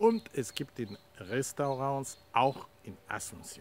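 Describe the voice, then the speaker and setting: A man speaks with very wide pitch swings. The sound is dry with no echo, over light background noise. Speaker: channel host. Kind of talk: casual vlog chat. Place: garden. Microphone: phone near.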